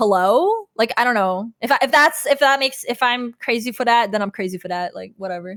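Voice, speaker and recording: A woman with a normal speaking voice, fairly high-pitched, with lively intonation and hardly any pauses. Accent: Canadian. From Canada. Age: 30s. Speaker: former vtuber. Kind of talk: casual chat. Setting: livestream.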